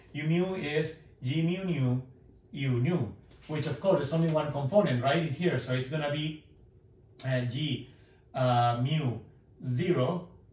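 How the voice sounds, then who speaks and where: A man with a fairly high pitch and a somewhat breathy voice speaks with ordinary pitch variation and long, frequent pauses, in audible room echo. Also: fairly slow pace. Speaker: physics professor. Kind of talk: lecture. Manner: conversational, hesitant with fillers. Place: classroom. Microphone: camera far.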